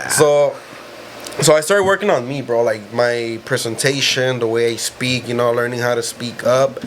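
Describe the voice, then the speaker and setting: Noticeable background noise behind a man's medium pitch, ordinary pitch variation and moderate pace. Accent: American. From South Central Los Angeles. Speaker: life insurance salesman. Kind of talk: casual chat.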